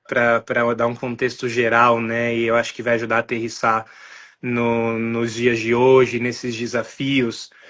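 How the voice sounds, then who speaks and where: The speaker is a man with a medium pitch. His tone sounds bright and sharp. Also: quiet background. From Brazil, São Paulo. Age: 20s. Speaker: podcast guest. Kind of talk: interview conversation, personal testimony.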